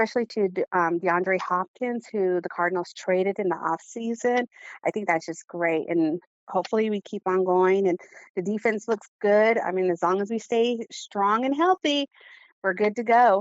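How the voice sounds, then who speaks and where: Speaking with an American accent, a woman uses a normal speaking voice at medium pitch, ordinary pitch variation and a moderate pace. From Arizona. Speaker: sports fan. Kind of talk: interview.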